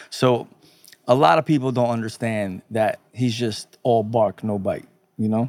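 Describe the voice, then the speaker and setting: In a normal speaking voice, the speaker moves at a fairly slow pace with fairly even intonation, the sound dry and close with no echo. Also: man, medium pitch for a man. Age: 30s. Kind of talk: casual chat. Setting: studio.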